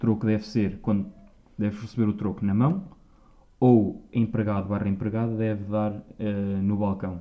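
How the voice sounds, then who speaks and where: Monotone and flat, a man speaks with a fairly low pitch. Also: moderate pace. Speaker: podcast host. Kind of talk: casual chat.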